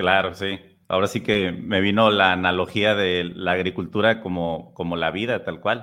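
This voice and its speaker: This man's voice is very deep and low, his intonation fairly even, and his pace moderate. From Mexico, Tampico. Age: 30s. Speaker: podcast host. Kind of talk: casual interview.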